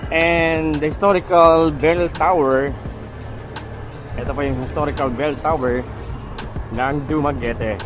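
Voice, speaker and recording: Clear music plays in the background as the speech moves at a very slow pace with long, frequent pauses. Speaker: motovlogger riding. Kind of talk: casual vlog commentary. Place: motorbike. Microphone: helmet.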